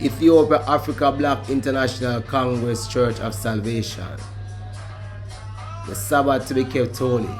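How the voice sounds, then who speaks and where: Over music in the background, a man with a Jamaican accent speaks at a medium pitch and a moderate pace, leaving long, frequent pauses. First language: Jamaican Patois. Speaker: Rastafarian reasoner. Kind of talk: formal document reading.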